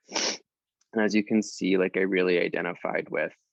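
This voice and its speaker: The sound is dry and close, with no echo. A man talks at a fairly slow pace with an American accent. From northern New Jersey, US. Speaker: artist and community organizer. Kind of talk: online presentation with slides. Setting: online video talk.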